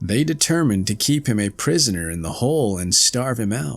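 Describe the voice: The passage is given a plain reading aloud.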